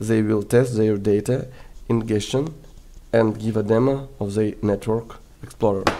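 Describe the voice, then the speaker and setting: Medium in pitch, this man's voice has a dark, mellow tone. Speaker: crypto project reviewer. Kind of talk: product review. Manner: hesitant, frequent fillers.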